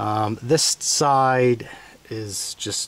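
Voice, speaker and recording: Fairly even intonation in a dry sound with no echo. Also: man. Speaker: tractor owner restoring it. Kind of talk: tutorial. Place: open country. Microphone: phone near.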